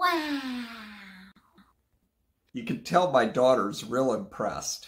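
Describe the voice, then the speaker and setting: Putting on a raspy character voice, a man speaks very slowly at a high pitch. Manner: sarcastic.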